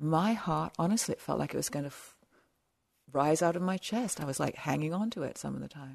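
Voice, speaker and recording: With an English accent, a woman speaks at a moderate pace. The background is quiet. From southern England. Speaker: meditation teacher. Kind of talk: dharma talk. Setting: meditation retreat center.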